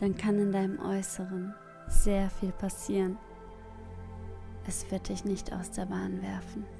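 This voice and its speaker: Over music in the background, a woman speaks in a calm tone at a very slow pace, with long, frequent pauses. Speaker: meditation guide. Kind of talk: guided meditation. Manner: calm, slow.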